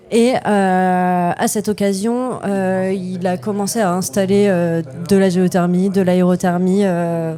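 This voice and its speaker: With music in the background, a woman speaks in fairly even intonation. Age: 20s. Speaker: company co-founder. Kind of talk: podcast interview. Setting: innovation day event. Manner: hesitant, many fillers.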